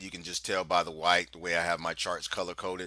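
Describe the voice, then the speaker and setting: Bright and sharp in tone, a man speaks at a fairly quick pace in a very clean recording with a silent background. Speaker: market analyst and trading trainer. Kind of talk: market analysis tutorial. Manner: fast.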